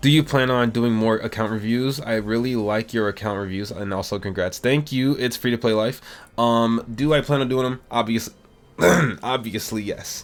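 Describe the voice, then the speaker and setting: Speaking at a moderate pace, a man uses a normal speaking voice at medium pitch with fairly even intonation. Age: 20s. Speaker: gaming YouTuber. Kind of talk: casual Q&A chat.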